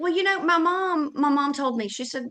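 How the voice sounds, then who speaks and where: Fairly quick speech from a woman, in an American accent. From US South. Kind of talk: interview conversation. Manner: loud; animated.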